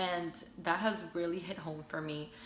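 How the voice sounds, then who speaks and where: A woman speaks with a relaxed tone and fairly low pitch. Noticeable background noise and audible room echo accompany her. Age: 20s. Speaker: hairstylist and advice vlogger. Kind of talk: casual advice vlog. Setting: at home. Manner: relaxed, chatty.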